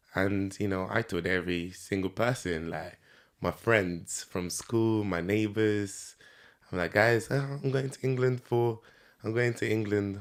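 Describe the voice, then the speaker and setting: A man with a Nigerian accent and fairly low pitch in a very clean recording with a silent background. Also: ordinary pitch variation, fairly slow pace. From Nigeria, Lagos. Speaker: podcast guest, entrepreneur. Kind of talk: interview. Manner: hesitant, many fillers.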